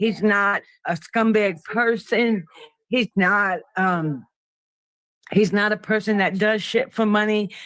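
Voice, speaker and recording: Very slow speech with long, frequent pauses in a New York accent. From Brooklyn, New York. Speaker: panel guest. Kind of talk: casual chat.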